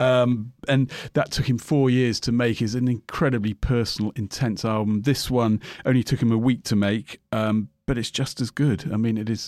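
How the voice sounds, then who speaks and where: A man with a British accent speaks at medium pitch and a moderate pace. His intonation is fairly even, and the sound is dry and close, with no echo. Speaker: record shop music expert. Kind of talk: casual chat reviewing albums.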